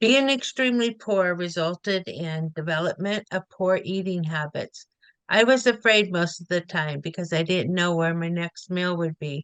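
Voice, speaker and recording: A woman with an ordinary speaking voice talks at a moderate pace in a fairly low pitch with ordinary pitch variation, the sound dry and close with no echo. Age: 60s. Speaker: food bank advocate, senior volunteer. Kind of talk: reading aloud a prepared personal story.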